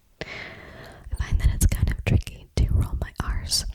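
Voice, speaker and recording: A whisper comes through very slowly against noticeable background noise. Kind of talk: Spanish tongue twisters. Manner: whispered; soft, slow, gentle.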